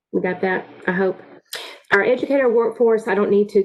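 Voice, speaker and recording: With an ordinary speaking voice, a woman talks at a fairly quick pace in a fairly high pitch with ordinary pitch variation. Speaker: workforce program presenter. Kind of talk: online meeting presentation.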